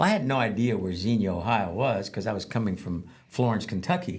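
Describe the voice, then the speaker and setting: A man talks at a fairly quick pace in a somewhat breathy, medium-pitched voice with lively intonation. Audible room echo surrounds him. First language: Spanish. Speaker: veteran advocate and former probation officer. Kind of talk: interview storytelling. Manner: halting, many fillers.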